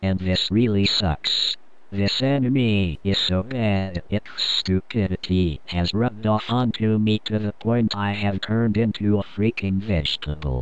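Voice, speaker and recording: Putting on a robotic character voice, a man speaks at a moderate pace and fairly low pitch, his loudness very even and his lines running on with hardly any pauses. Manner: flat, deadpan complaining.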